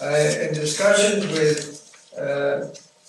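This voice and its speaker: A man talks with ordinary pitch variation. Room echo is audible, and background noise is noticeable. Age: 90s. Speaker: foundation chairman, public commenter. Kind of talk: public comment speech.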